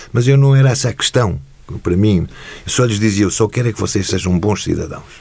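A man speaks at a fairly quick pace. Noticeable background noise can be heard behind him. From Portugal, Lisbon. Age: 60s. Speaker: retired judge and football club figure. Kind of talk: interview.

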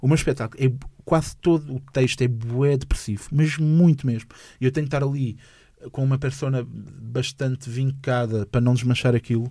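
A man with a dark, mellow, somewhat breathy tone speaks at a moderate pace in a very clean recording with a silent background. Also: medium pitch for a man. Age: 20s. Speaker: comedian. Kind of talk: casual interview chat. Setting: studio. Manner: halting, repeats words.

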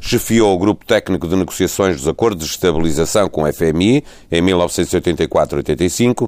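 A man speaks fairly slowly at a very deep, low pitch with very even loudness. The recording is very clean, with a silent background. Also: ordinary pitch variation. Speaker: radio host. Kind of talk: interview.

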